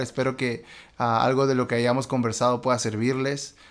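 The background is silent and the recording very clean. A man speaks in a medium pitch. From Peru, Lima. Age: 30s. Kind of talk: interview testimony. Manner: halting.

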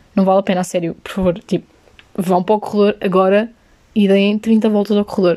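A woman with a European Portuguese accent speaks in a dark, mellow tone at a medium pitch, her intonation monotone and flat at a fairly quick pace. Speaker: podcaster. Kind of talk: solo casual monologue. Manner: casual, code-switching into English.

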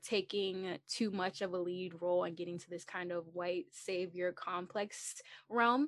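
A woman speaks in an unremarkable speaking voice at a medium pitch and a fairly slow pace, with ordinary pitch variation. The sound is dry and close with no echo, against a quiet background. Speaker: student podcast host. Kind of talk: casual interview.

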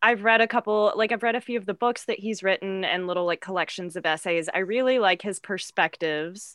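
A plain, everyday voice with an American accent runs at a fairly quick pace with ordinary pitch variation and hardly any pauses. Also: woman, medium pitch for a woman. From US South. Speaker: guest, improv performer. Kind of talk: casual comedy podcast chat.

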